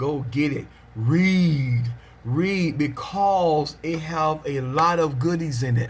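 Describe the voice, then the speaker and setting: A somewhat breathy male voice with fairly even intonation and audible room echo. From US South, Pelham, Georgia. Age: 40s. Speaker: preacher. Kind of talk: casual video monologue. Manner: frequent amens and filler ums.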